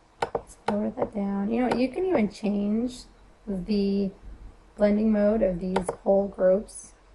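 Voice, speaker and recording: Against noticeable background noise, a woman speaks at a fairly slow pace and medium pitch with flat, monotone intonation. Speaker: photographer and Photoshop action seller. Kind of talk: software tutorial. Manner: casual, chatty.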